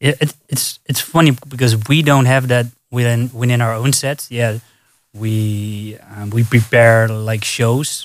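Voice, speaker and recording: This man speaks at a fairly slow pace. His intonation is fairly even. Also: medium pitch for a man. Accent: Dutch. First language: Dutch. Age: 30s. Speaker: DJ. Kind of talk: casual chat. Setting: studio.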